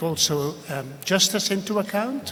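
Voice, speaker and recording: A man with a Flemish accent speaks over noticeable background noise. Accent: Belgian (Flemish) English. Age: 60s. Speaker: ambassador. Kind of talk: speech. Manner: hesitant, many filler sounds.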